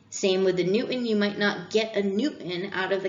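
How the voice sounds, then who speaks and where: Audible room echo surrounds a woman's voice. She speaks at a medium pitch with fairly even intonation. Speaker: engineering instructor; instructor. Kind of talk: recorded lecture. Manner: fast. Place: home room.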